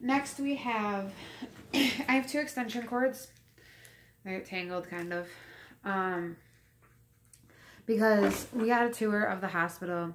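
A woman at a fairly slow pace, with long, frequent pauses and light background noise. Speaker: pregnant vlogger. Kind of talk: casual vlog chat. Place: home room. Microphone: phone near.

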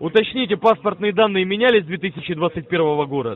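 A man speaks at a high pitch, with light background noise behind him. The sound is dry, with no echo. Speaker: phone scammer posing as security officer. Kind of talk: scam phone call. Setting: phone call. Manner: formal. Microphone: phone line.

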